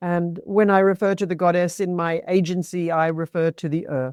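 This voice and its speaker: With a quiet background, a voice of dark, mellow tone moves at a moderate pace. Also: woman, dry, close sound with no echo. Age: 60s. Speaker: menopause educator and former midwife. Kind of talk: interview.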